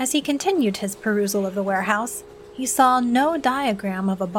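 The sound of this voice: The reading comes in an unforced voice.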